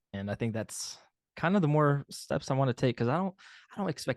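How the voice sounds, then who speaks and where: An American accent marks this man's speech. He talks at a very fast pace with lively intonation. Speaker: indie pop singer-songwriter. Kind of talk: interview. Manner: halting, many fillers.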